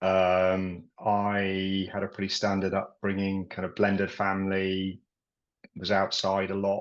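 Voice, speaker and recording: A man speaks in a Yorkshire accent at fairly low pitch. His intonation is flat and monotone. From Yorkshire, England. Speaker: property and business coach, army veteran. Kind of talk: podcast interview.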